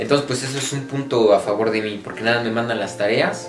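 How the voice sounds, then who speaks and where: A man at a fairly quick pace with fairly even intonation, clear music in the background. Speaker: student vlogger. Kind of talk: casual vlog chat. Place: home room. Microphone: phone near.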